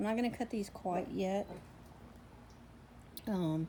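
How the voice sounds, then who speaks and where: A woman speaks in a Southern US accent. Her pitch is medium. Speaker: homesteading vlogger. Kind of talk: casual vlog.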